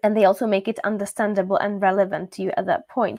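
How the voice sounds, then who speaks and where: The speaker has a Czech accent. The sound is dry and close with no echo, on a very clean recording with a silent background. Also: woman. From Czechia. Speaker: language teacher. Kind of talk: live stream talk. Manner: casual, with many fillers.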